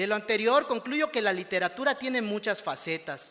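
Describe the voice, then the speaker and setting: The speaker has a bright, sharp tone and lively intonation with a Yucatán accent. The pace is fairly slow. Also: man. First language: Yucatec Maya (speaking Spanish). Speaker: award-winning writer. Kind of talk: acceptance speech. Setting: ceremony with audience. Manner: formal.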